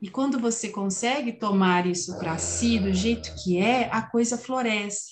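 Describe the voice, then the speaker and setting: A woman speaks in a normal speaking voice at a medium pitch with ordinary pitch variation. Her pace is fairly slow, yet she takes hardly any pauses. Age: 50s. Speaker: podcast host and family constellation therapist. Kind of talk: casual chat.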